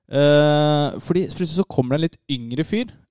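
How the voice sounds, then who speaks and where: In a plain, everyday voice, a man with a fairly high pitch speaks at a moderate pace with ordinary pitch variation, the sound dry and close with no echo on a very clean recording with a silent background. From Norway, Lørenskog (east of Oslo). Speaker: podcast co-host. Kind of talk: casual chat.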